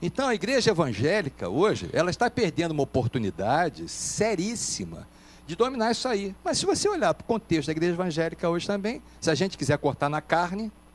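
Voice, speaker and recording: Over noticeable background noise, a man with a high pitch talks at a fairly quick pace with hardly any pauses and very wide pitch swings. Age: 60s. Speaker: pastor. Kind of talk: panel debate.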